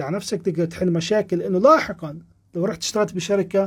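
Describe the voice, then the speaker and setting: Speaking in a Palestinian accent, a man talks at a fairly quick pace. His pitch is high and his tone animated. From Palestine. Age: 30s. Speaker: programming instructor and podcast host. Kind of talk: live-stream Q&A talk. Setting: live stream. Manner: casual, animated.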